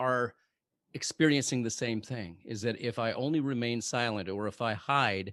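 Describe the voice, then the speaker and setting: Over a quiet background, a man with a normal speaking voice talks at a moderate pace. His pitch is medium, with ordinary variation. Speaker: podcast host, former hostage negotiator turned motivational speaker. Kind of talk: podcast host interview question.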